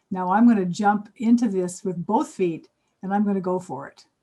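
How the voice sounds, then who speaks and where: A woman's somewhat breathy voice of medium pitch, dark and mellow in tone, at a moderate pace with ordinary pitch variation. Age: 70s. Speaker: spiritual mentor. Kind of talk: interview.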